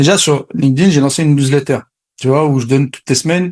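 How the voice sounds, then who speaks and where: Recorded with a dry, close sound and no echo, a man speaks very fast at a fairly high pitch with fairly even intonation. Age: 40s. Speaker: sales coach. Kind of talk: interview.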